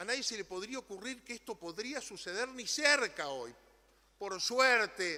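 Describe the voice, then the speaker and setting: Raising and projecting his voice, a man speaks at a high pitch with a bright, sharp tone and lively intonation. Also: fairly slow pace. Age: 60s. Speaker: politician. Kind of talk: parliamentary speech. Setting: legislative chamber. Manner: formal.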